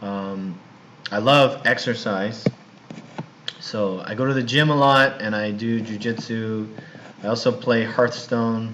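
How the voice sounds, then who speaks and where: A man with a Californian accent speaks at medium pitch against noticeable background noise. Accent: Californian American English. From US West Coast, Los Angeles. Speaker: university English teacher. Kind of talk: recorded online class introduction. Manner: casual, hesitant with fillers; slow, simple speech for learners.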